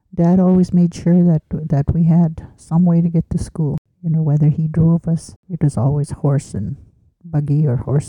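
A woman talks at a moderate pace in a very deep, low pitch with a dark, mellow tone. Her voice is somewhat breathy, and the sound is dry and close with no echo.

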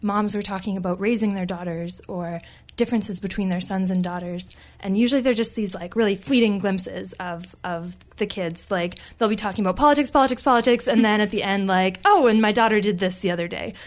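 Speaking at a fairly quick pace with a Canadian accent, this woman has a normal speaking voice, a medium pitch and ordinary pitch variation. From northern British Columbia, Canada. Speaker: graduate student. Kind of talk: interview. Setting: studio.

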